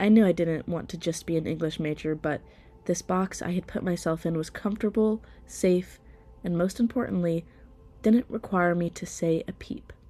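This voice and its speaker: A woman's dark, mellow tone, fairly low in pitch, at a moderate pace with fairly even intonation. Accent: American. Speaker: theater student. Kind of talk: personal podcast narration.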